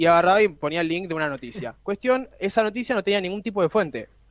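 A man's high voice with lively intonation at a fairly quick pace. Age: young. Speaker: film and series columnist. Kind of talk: radio column.

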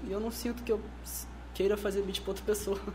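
A man talks amid noticeable background noise, with audible room echo. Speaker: rapper and music producer. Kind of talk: casual chat.

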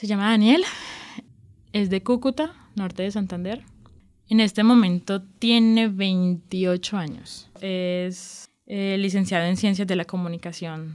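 A woman's medium-pitched voice at a very slow pace, with ordinary pitch variation, on a very clean recording with a silent background. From Colombian Caribbean coast, Barranquilla. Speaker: journalism student telling her love story. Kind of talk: personal testimony interview. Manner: halting, with repetitions and fillers.

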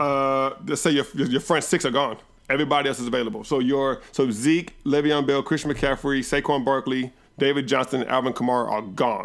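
An ordinary speaking voice belongs to this man, who talks at a fairly quick pace with a fairly high pitch and ordinary pitch variation. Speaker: podcast host. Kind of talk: casual banter about fantasy football.

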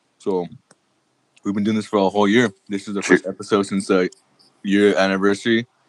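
Speaking at a fairly quick pace with long, frequent pauses, a man with a fairly low pitch keeps a monotone, flat intonation in a dry, close sound with no echo. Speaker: sports podcast co-host. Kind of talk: casual chat.

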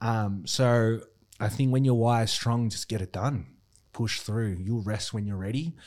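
This man has an Australian accent and a medium pitch. He speaks at a fairly slow pace with ordinary pitch variation. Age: 30s. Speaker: gym owner. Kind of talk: casual interview chat.

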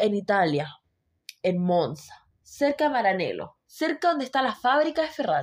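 Her loudness stays very even as she talks at a moderate pace. The woman's high pitch swings very widely. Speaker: Formula 1 podcast co-host. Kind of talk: casual chat. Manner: quiet.

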